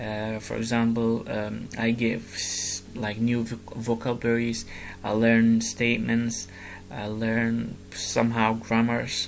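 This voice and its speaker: Over noticeable background noise and audible room echo, the speech runs at a very slow pace in a monotone, flat intonation. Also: man, medium pitch for a man. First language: Arabic. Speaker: gamer vlogger. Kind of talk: casual explanation of a presentation. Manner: halting, many fillers and restarts.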